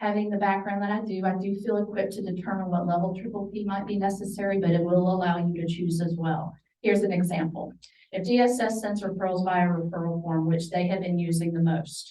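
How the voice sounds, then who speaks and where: A quiet woman's voice, dark and mellow in tone, flat and monotone, at a very fast pace. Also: medium pitch for a woman. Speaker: parenting program coordinator. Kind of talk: presentation to professionals. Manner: quiet-spoken.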